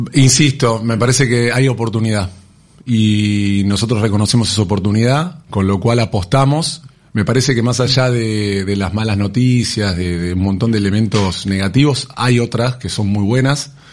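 A man speaks at a moderate pace with ordinary pitch variation and a medium pitch. It is an ordinary speaking voice. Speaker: business partner of a retail company. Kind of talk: radio interview.

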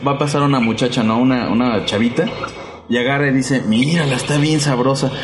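A man with a Mexican accent at a fairly quick pace, very even loudness, audible room echo, and noticeable background noise. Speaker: podcast host. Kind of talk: casual chat. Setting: internet radio studio. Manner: animated.

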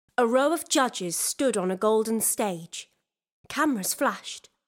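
Lively intonation in an unforced reading voice, over a quiet background.

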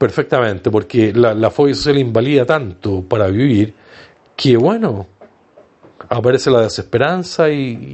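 A man speaks at a fairly slow pace. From Chile. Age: 60s. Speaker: online radio host, support group organizer. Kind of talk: casual livestream talk.

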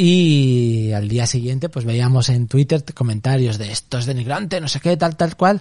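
A man speaks in a dark, mellow tone at a medium pitch, somewhat breathy, with ordinary pitch variation. He leaves hardly any pauses against a quiet background. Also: moderate pace. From Spain, Zaragoza (Aragón). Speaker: artist and author. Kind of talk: casual interview.

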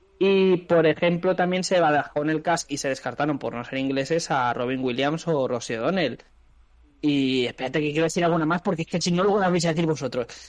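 A man speaks with an ordinary speaking voice at a fairly high pitch. His pace is fairly quick and his pitch variation ordinary. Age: middle-aged. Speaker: podcast co-host. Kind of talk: casual chat.

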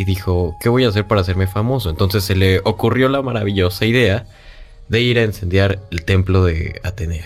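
Music plays in the background as a man talks at a fairly quick pace. His pitch varies in an ordinary way. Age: young. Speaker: radio show assistant. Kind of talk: radio talk show.

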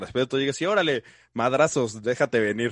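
A man talking very fast with lively intonation, dry and close with no echo, against a quiet background. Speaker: podcast host. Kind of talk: casual interview. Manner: chatty.

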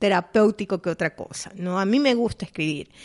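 A woman speaks in an animated tone. Her intonation is lively. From Ecuador. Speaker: podcast co-host. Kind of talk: casual chat.

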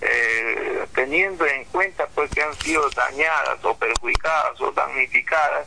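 Noticeable background noise fills the recording. Through it, a man can be heard talking. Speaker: farmers' federation leader. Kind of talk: interview.

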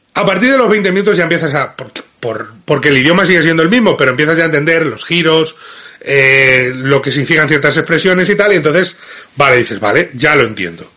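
With a Madrid accent, a man speaks at a fairly quick pace in an animated tone, using lively intonation and a fairly high pitch. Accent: Madrid Castilian Spanish. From Spain, Madrid. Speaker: film critic. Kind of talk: video film review.

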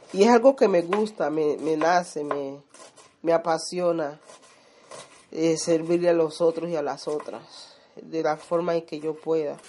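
At a fairly slow pace, a woman speaks in a fairly low pitch. Long, frequent pauses break her speech over noticeable background noise. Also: ordinary pitch variation. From Colombia, Chocó (Condoto). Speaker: community leader and home cook. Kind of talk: casual interview while cooking.

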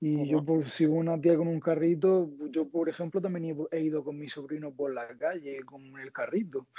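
This man has a normal speaking voice, pitched fairly high. He talks at a moderate pace with fairly even intonation. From Spain, Almería (Andalusia). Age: 20s. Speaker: interviewee sharing his dating experience. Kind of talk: casual interview.

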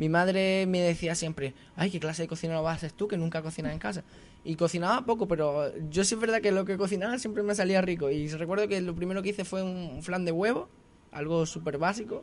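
A man with an Andalusian accent talks at a very fast pace. His pitch is high, with ordinary pitch variation. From Andalusia, Granada province (small village). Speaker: restaurant owner and chef. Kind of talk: radio interview.

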